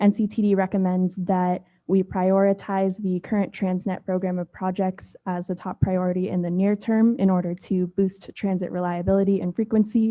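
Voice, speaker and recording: A woman speaks softly at a medium pitch. Her pace is fairly quick. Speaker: transit agency staff planner. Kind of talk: staff presentation at board meeting. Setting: public board meeting. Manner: soft-spoken.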